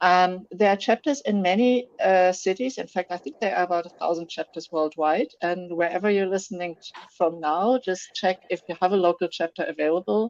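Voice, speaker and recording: A woman with a German accent speaks at a fairly quick pace, with hardly any pauses and a medium pitch showing ordinary variation. The sound is dry and close, with no echo. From Germany. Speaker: software developer, tech community organizer. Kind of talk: interview. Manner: hesitant, many fillers.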